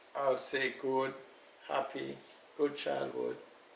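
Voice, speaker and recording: In a room with audible echo and noticeable background noise, a man talks at a fairly slow pace. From Jamaica, Kingston. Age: 60s. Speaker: elder interviewee. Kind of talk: interview.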